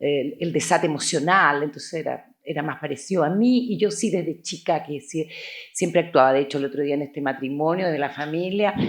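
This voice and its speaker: Speaking at a moderate pace, a woman with a very deep, low pitch shows ordinary pitch variation. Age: 60s. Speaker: actress. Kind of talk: interview.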